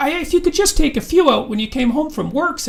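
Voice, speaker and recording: This put-on character voice is high-pitched and delivered at a very fast pace. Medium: read story. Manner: homespun, folksy.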